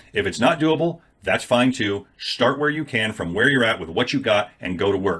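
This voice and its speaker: Bright and sharp in tone, a man talks at a medium pitch with lively intonation. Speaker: affiliate marketer, YouTuber. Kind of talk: casual talking-head video. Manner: fast.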